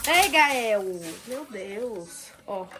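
Over noticeable background noise, a woman speaks very slowly in a fairly high voice with lively intonation. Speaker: lifestyle vlogger. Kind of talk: casual vlog talk to camera. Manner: animated.

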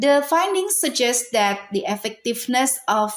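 In an Indonesian accent, a woman speaks at a moderate pace. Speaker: university student presenter. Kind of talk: academic presentation. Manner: halting.

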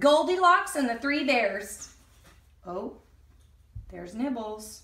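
A woman speaks slowly at a fairly high pitch, with big pitch swings and a fairly bright tone. Strong room echo surrounds her voice.

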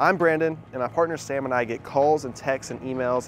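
A man speaks at a fairly quick pace with ordinary pitch variation. The sound is dry with no echo, and faint music plays in the background. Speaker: real estate agent host. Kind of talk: casual vlog chat. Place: street. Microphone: lapel.

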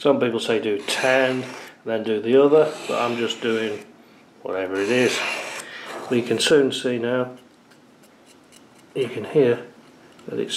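Noticeable background noise can be heard. The talking proceeds at a fairly slow pace. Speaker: product reviewer. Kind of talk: tutorial. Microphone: camera far.

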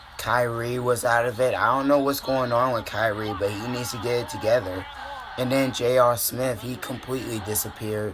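A man's intonation stays fairly level, with noticeable noise behind him. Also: medium pitch for a man, moderate pace. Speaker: sports fan YouTuber. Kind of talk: reaction commentary. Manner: emotional, frustrated fan.

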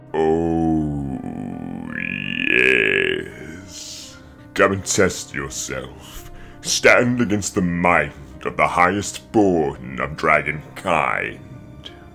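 Over clear music in the background, a man speaks in a put-on character voice at a very slow pace.

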